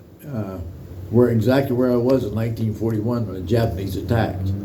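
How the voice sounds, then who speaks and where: A male voice with noticeable background noise. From United States. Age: 80s+. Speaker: war veteran. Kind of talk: interview answer.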